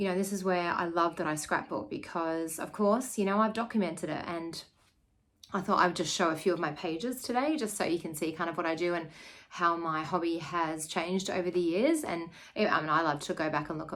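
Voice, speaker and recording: There is audible room echo as a woman with an Australian accent talks at a fairly quick pace, her fairly low pitch showing ordinary variation. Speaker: scrapbooker and teacher. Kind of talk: casual video chat. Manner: casual, with many fillers.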